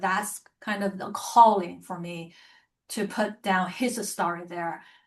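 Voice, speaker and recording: Against a quiet background, a woman speaks very slowly in a bright, sharp tone with ordinary pitch variation. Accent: Chinese. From China. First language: Chinese. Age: 50s. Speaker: author and publisher. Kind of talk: interview conversation.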